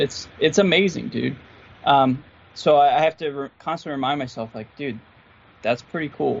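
This man has a fairly high pitch and an American accent. His pitch varies in an ordinary way. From Philadelphia area, US. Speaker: guitarist YouTuber. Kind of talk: casual podcast interview. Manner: slow, stumbles on words; enthusiastic, relaxed.

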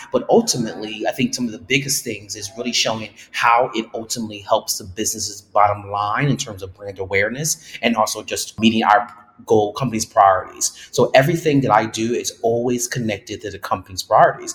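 Speaking in an ordinary speaking voice, a man talks at a fairly quick pace with hardly any pauses and big swings in loudness. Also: medium pitch for a man, ordinary pitch variation. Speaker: diversity and inclusion director. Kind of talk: interview answers.

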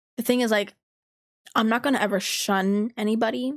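Against a silent background on a very clean recording, a woman with an unremarkable speaking voice talks at medium pitch and a moderate pace. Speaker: podcast host. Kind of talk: casual chat.

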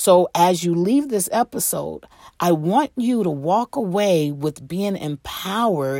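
Recorded dry and close with no echo, a woman speaks very slowly at a medium pitch, her dark, mellow tone carrying lively intonation. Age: 50s. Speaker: podcast host and life coach, pastor. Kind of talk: casual interview as guest in hot seat; podcast monologue. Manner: animated.

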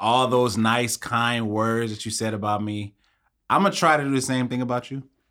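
Over a silent background in a very clean recording, a man speaks at a fairly slow pace with fairly even intonation. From Long Beach, California. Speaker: parks and recreation worker. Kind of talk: casual chat.

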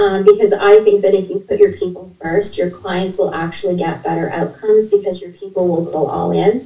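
Noticeable background noise sits behind a woman with a Canadian accent. Her pitch is medium and her intonation fairly even. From Canada (Ontario). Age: 50s. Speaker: registered nurse and leadership coach. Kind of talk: interview conversation. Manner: talkative, fast-flowing.

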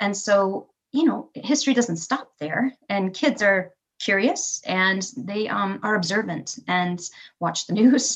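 Very slowly, a woman talks at a medium pitch in a somewhat breathy voice. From Michigan, Kalamazoo. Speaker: elementary school teacher. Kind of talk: casual interview chat.

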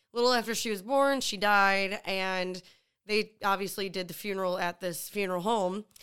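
A woman with an American accent speaks at a moderate pace in a medium pitch, with a bright, sharp tone and fairly even intonation, on a very clean recording with a silent background. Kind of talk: casual comedy podcast chat. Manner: laughing, playful.

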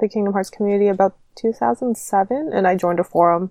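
A woman with a normal speaking voice speaks in a Canadian accent at medium pitch with ordinary pitch variation. The sound is dry and close, with no echo. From Canada. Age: 20s. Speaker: former co-host, podcaster. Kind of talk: casual chat.

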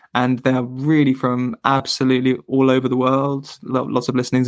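This man has an English accent and a medium pitch. He speaks in a monotone, flat intonation, in a very clean recording with a silent background. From England. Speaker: podcast host and teacher. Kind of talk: interview. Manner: hesitant, many fillers.

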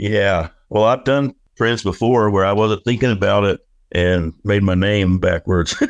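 A man with a normal speaking voice talks at a fairly low pitch with fairly even intonation, recorded dry and close with no echo. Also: quiet background. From Oklahoma. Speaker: artist. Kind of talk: casual interview.

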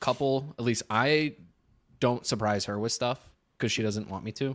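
On a very clean recording with a silent background, a man speaks at a moderate pace with ordinary pitch variation. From Chicago. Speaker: podcast host. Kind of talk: casual chat.

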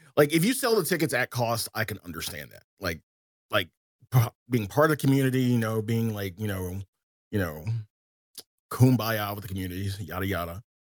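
A man with a Southern US accent speaks with big swings in loudness and long, frequent pauses in a dry, close sound with no echo. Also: fairly low pitch for a man, lively intonation. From US South. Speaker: game streamer. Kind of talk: casual chat.

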